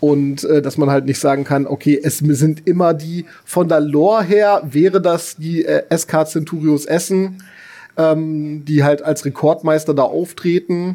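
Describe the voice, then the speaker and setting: At a fairly slow pace, the speaker uses fairly even intonation in a dark, mellow tone. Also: man, fairly high pitch for a man. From northern Germany (Bremen). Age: 40s. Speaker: teacher. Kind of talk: casual interview.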